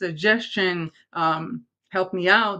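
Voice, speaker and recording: A woman talks with an Israeli accent and ordinary pitch variation. The background is quiet. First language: Hebrew. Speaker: talk show host, makeup artist and life coach. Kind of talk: live show monologue to viewers. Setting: live streamed show.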